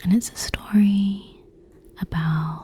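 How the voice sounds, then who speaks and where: Whispering comes very slowly through noticeable background noise. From United Kingdom. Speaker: ASMR content creator. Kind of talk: ASMR gaming commentary. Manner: soft-spoken.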